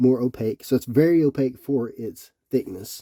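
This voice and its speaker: In a Tennessee accent, a man speaks at a moderate pace with a medium pitch and a dark, mellow tone. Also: dry, close sound with no echo. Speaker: Bible reviewer. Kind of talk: product review. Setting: indoors, cold room with electric heat. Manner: casual, some hesitations.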